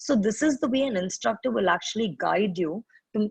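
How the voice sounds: A woman's medium-pitched voice with a husky, rough edge and vocal fry, lively intonation, a moderate pace and a dry, close sound with no echo.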